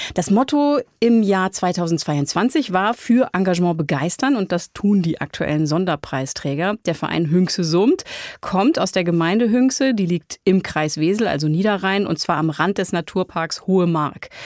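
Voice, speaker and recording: Lively intonation marks this woman's ordinary speaking voice at medium pitch, with very even loudness and hardly any pauses. The recording is dry, close and very clean, with a silent background. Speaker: podcast host. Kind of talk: interview and narration. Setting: studio.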